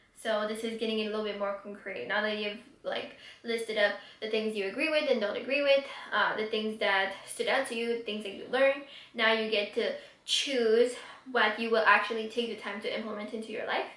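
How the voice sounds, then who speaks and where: Over noticeable background noise, a woman talks fairly quickly at a fairly high pitch with fairly even intonation. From Quebec City, Canada. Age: 20s. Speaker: YouTuber, book reviewer. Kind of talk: casual talk to camera.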